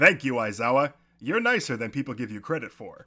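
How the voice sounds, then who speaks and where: On a very clean recording with a silent background, a man puts on a booming character voice at a medium pitch and fairly quick pace, with big swings in loudness. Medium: read story. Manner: hearty, easygoing, enthusiastic.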